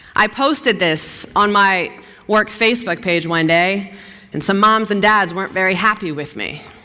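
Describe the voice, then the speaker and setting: A woman with a Philadelphia accent, medium pitch and ordinary pitch variation, amid noticeable background noise. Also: moderate pace. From US Northeast, South Philadelphia. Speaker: TV news anchor. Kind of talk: motivational talk. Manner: energetic; animated.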